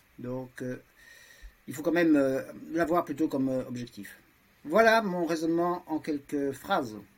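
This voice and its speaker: Using lively intonation, a man with a fairly high pitch talks at a fairly slow pace with long, frequent pauses. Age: 60s. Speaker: lawyer, transhumanist association vice-president. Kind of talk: podcast discussion. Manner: halting, many hesitations.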